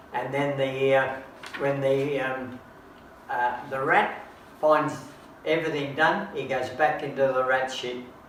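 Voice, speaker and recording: Over noticeable background noise, a fairly high-pitched man with an Australian accent speaks at a fairly slow pace in a flat monotone, with long pauses that come often. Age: 80s+. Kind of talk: casual comedic chat.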